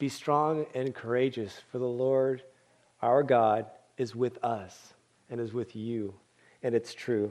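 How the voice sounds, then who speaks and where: Against a quiet background, a man with an American accent speaks at a medium pitch. He goes at a very slow pace with long, frequent pauses. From US West Coast, San Francisco Bay Area. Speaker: pastor and former missionary. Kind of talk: sermon. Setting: church service.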